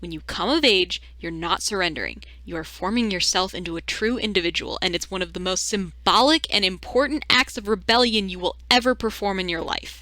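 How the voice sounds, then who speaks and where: A woman's bright, sharp, animated voice at a medium pitch, with vocal fry, ordinary pitch variation, a fairly quick pace and hardly any pauses. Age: 20s. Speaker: video essayist. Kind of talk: video essay commentary.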